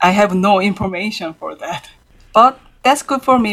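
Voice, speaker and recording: This is a woman speaking with a Korean accent. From South Korea, Seoul. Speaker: jazz pianist and composer. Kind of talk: interview.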